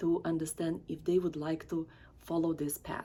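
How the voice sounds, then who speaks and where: At a moderate pace, a woman talks in a dark, mellow tone. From Eastern Europe. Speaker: talk show host. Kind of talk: interview.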